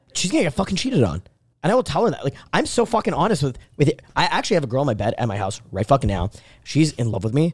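A man speaks at a very fast pace in a fairly high pitch, his voice swinging very widely up and down. There is vocal fry, and the sound is dry and close with no echo. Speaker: podcast host. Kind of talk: heated debate. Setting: live podcast studio with camera. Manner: loud, brash, combative.

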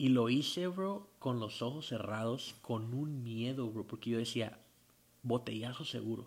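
This man has a normal speaking voice, medium pitch and ordinary pitch variation, and he speaks at a fairly slow pace. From Tijuana, Baja California, Mexico. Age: 30s. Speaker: rock band singer. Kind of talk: casual interview.

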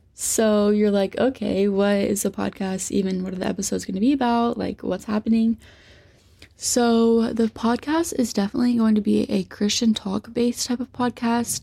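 A woman's somewhat breathy, dark, mellow voice with an American accent, fairly high pitch, fairly even intonation and a moderate pace. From US Midwest (Southern Indiana). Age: young. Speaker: student podcaster. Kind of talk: solo casual podcast monologue.

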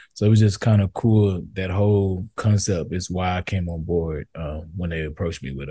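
A man's very deep, low voice with a dark, mellow tone, somewhat breathy, in an American accent, at a moderate pace with ordinary pitch variation and a quiet background. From East Texas (Tyler). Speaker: photographer. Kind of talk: casual interview chat.

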